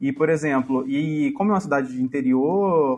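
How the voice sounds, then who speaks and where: A man speaking at a moderate pace. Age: 30s. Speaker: podcast guest. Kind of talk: casual chat. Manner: halting.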